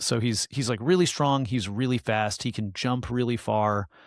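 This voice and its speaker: With an American accent and a normal speaking voice, a man talks at a moderate pace with medium pitch. His intonation is lively, and the sound is dry and close with no echo. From United States. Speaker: podcast co-host. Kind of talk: casual chat. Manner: casual, filler-heavy speech.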